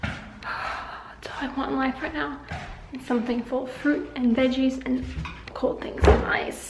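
A woman's high-pitched voice at a fairly slow pace, with audible room echo

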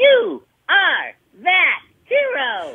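Someone uses a put-on character voice at an extremely high pitch. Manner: heroic, upbeat.

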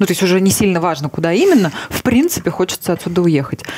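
A woman with ordinary pitch variation at a fairly quick pace. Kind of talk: casual interview chat. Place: studio. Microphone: headset.

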